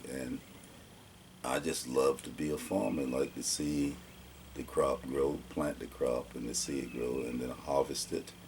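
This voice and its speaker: Over noticeable background noise, a man with an Alabama accent speaks fairly slowly in a very deep, low, monotone voice with flat intonation. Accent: Southern US (Alabama). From US South, Alabama. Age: 60s. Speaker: oral history interviewee. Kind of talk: oral history interview.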